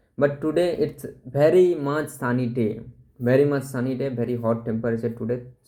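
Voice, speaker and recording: At a fairly quick pace, a man with a Bengali accent speaks at a medium pitch in a dark, mellow tone with ordinary pitch variation. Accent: Indian English, Bengali. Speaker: vlogger. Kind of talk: casual talk to camera.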